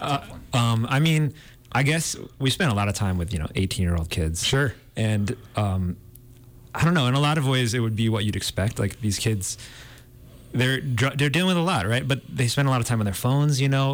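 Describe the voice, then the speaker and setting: A man with a plain, everyday voice and a medium pitch talks at a fairly quick pace with lively intonation and very even loudness. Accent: American. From Iowa. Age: 30s. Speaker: cinematographer. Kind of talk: interview. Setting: studio.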